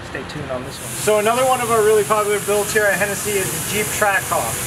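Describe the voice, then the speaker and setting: There is noticeable noise behind a man as he talks. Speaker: presenter. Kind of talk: casual vlog chat. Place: workshop.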